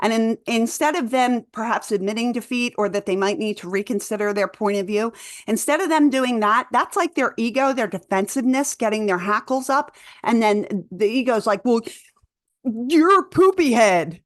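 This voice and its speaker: With a Philadelphia accent, a woman talks in a fairly high pitch with lively intonation. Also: moderate pace. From Philadelphia, US. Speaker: doula and conspiracy vlogger. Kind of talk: casual vlog monologue. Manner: loud; halting, with fillers and restarts.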